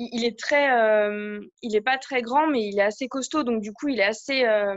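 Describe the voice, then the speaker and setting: At a moderate pace, a woman with a fairly high voice talks with ordinary pitch variation. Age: 30s. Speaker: coaching client. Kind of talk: coaching session. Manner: halting.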